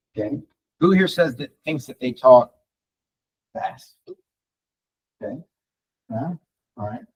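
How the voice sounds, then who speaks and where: Swinging very widely in pitch, a man speaks with a dry, close sound that has no echo. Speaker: real estate coach and trainer. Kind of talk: live training session. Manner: fast.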